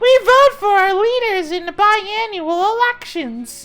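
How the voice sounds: Squeaky and extremely high, a put-on character voice speaks at a fairly slow pace over music in the background.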